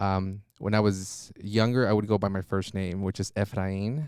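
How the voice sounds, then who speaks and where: On a very clean recording with a silent background, a man with a Spanish accent is heard in a dry, close sound with no echo. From Mexico, Monterrey; moved between Mexico and US. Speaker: trauma therapist. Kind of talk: podcast interview. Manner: hesitant, many fillers.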